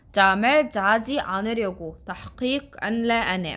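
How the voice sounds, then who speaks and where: In a very clean recording with a silent background, a speaker with an Egyptian accent uses a bright, sharp tone and lively intonation. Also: woman. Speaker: Korean language teacher. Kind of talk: tutorial.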